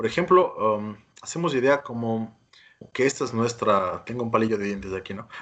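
A man talks at a moderate pace in a medium pitch with ordinary pitch variation. His loudness swings widely from moment to moment. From Ecuador, Quito. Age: young. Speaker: plastic surgeon. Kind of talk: interview. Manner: halting.

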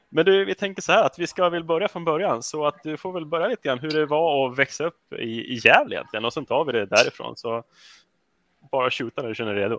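Lively intonation drives very fast speech, dry and close with no echo over a quiet background. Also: man, fairly high pitch for a man. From Sweden, Rättvik. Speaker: podcast host. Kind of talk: casual interview.

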